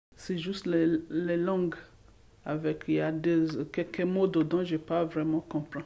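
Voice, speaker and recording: This woman's voice is fairly low in pitch, with a dark, mellow tone. She talks at a fairly slow pace in a monotone, flat intonation. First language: English (speaking French). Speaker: vocational trainee. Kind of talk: testimony. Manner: halting.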